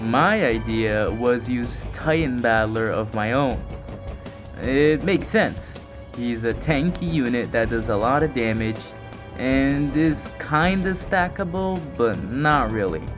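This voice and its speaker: The speech is very slow, and music sounds in the background. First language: not English. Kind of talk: gaming commentary narration.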